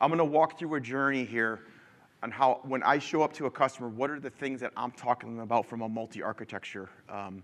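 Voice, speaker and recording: Against a quiet background, a man with a Midwestern American accent speaks at a very fast pace in a medium pitch, with ordinary pitch variation and big swings in loudness. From Michigan. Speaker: engineer presenting a conference talk. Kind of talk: conference presentation. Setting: stage with audience. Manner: casual, many filler ums.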